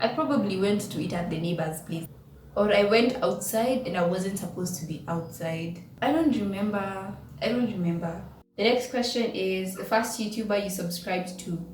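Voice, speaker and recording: Amid noticeable background noise and audible room echo, a woman talks at a moderate pace and medium pitch. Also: ordinary pitch variation. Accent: Kenyan. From Kenya. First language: Kikuyu. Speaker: YouTuber. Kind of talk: casual vlog chat.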